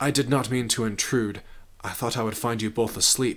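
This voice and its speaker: A man in a put-on character voice, medium in pitch, monotone and flat, at a moderate pace. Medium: read story. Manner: formal, measured, calm.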